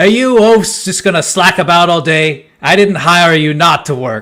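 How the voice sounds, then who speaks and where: A man puts on a gruff character voice, pitched high. His intonation is lively and his pace moderate. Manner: scolding and bossy.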